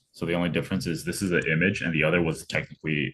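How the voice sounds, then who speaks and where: This man talks at a very fast pace in a very deep, low voice with vocal fry and fairly even intonation. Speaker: coding tutor. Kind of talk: tutorial. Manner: casual, hesitant with fillers.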